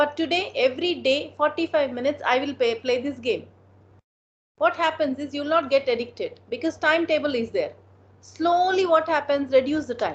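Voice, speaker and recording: Using ordinary pitch variation, a woman with an Indian accent talks at a moderate pace in a high pitch. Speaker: motivational speaker and counselor. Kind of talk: motivational talk with Q&A. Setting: online video meeting.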